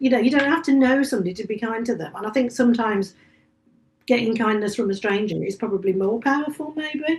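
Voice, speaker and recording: A woman with a West Midlands accent talks at a very fast pace. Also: fairly high pitch for a woman, ordinary pitch variation. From English Midlands, Staffordshire. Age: 50s. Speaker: author and bookshop cafe owner. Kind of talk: casual chat.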